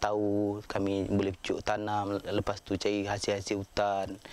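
This man's voice sits at a fairly low pitch, with a dry sound and no echo. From Malaysia, Pahang interior (Orang Asli village); Malaysia. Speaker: interviewee. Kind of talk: documentary interview testimony. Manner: halting, many fillers. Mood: earnest, aggrieved. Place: open country. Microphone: lapel.

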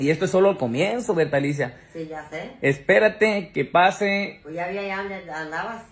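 Here a man speaks with a high pitch. His pitch varies in an ordinary way. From Mexico. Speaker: social media personality; comedy social media creator. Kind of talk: casual vlog talk; casual vlog chat. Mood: joking, boastful. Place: home room. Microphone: phone near.

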